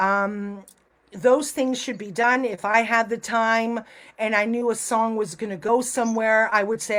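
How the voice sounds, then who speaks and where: A woman with a plain, everyday voice, a fairly high pitch and ordinary pitch variation. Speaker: music artist manager. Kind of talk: podcast interview.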